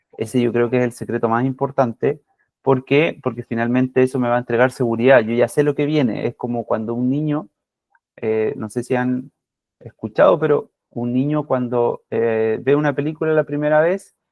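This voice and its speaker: With fairly even intonation, a man talks in a medium pitch. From Chile. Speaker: physiotherapy academic, lecturer. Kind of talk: lecture. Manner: deliberately calm, slowed pace; many fillers and hesitations.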